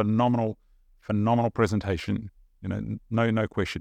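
With a New Zealand accent, a man talks at a moderate pace in a dry, close sound with no echo. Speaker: prophetic minister. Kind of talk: casual conversation, sharing visions. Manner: halting, repeats words.

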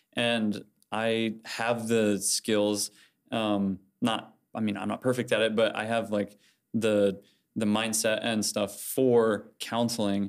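With a Midwestern American accent, a man speaks very slowly in a fairly low, monotone, flat voice over a silent background in a very clean recording. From Indiana, Fort Wayne. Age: 20s. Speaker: college student. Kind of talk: casual chat. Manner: halting, many fillers.

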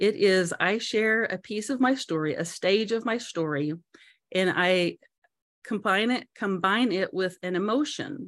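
In a plain, everyday voice, a woman speaks at a medium pitch and fairly slow pace with lively intonation, on a very clean recording with a silent background. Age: 50s. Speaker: motivational speaker and business owner. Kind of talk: interview testimony.

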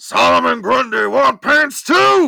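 Putting on a character voice, a man speaks in a raised, projected voice at a high pitch and a fairly slow pace. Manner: simple, dim speech.

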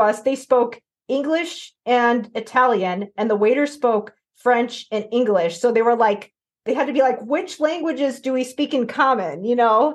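A woman's fairly high, animated voice at a moderate pace. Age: 40s. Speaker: podcast host. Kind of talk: casual chat.

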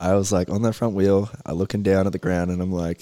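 The speaker is male. His accent is Australian. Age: 20s. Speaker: motocross racer. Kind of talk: casual interview chat.

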